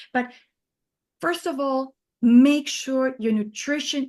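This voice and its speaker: The woman's voice is high in pitch, with ordinary pitch variation. She speaks with a non-native accent. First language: not English. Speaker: neuroscientist and supplement company founder. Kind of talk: interview conversation. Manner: halting, many fillers and restarts.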